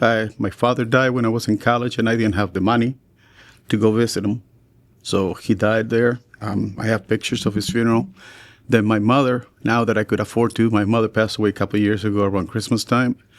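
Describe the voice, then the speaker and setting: A man with a Spanish accent, medium-pitched and monotone, at a very fast pace. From Chile. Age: 60s. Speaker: teacher and coach. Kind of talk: podcast conversation.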